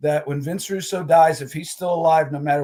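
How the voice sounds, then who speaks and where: With a normal speaking voice, a man delivers fairly even intonation at a fairly high pitch. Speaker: former wrestling ring announcer and author. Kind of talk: interview answer.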